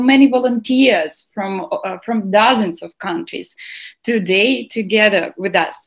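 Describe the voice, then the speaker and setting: A woman speaks at a fairly slow pace with lively intonation and a somewhat breathy quality. The background is quiet. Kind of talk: welcome speech. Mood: cheerful, enthusiastic. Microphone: video call.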